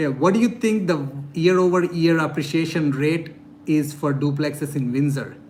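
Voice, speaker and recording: Audible room echo surrounds a man speaking at a moderate pace, his fairly high pitch showing ordinary variation. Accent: non-native. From India. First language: not English. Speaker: real estate investor and YouTuber. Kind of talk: live-stream Q&A. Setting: live stream.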